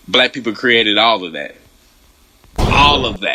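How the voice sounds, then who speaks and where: A man with a Southern US accent is heard against noticeable background noise. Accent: Southern country. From US South. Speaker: reaction video host. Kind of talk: reaction commentary. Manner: animated.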